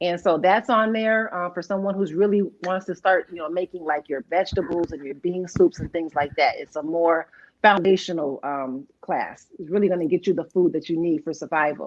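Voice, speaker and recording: Speaking at a fairly quick pace, a woman has an ordinary speaking voice, a fairly low pitch, and ordinary pitch variation. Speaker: canning instructor. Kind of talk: interview.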